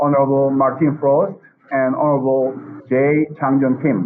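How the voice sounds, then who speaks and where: A man speaks with a Korean accent. His pitch is fairly high and his pace fairly slow. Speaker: professor and webinar moderator. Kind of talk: formal moderation. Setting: video call. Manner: halting, many fillers.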